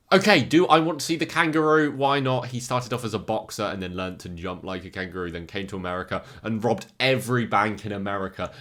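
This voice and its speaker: In an English accent, a man with a medium pitch speaks very fast in an animated way, his tone bright and sharp and his intonation lively. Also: hardly any pauses. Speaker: YouTuber ranking movie villains. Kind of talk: casual commentary video.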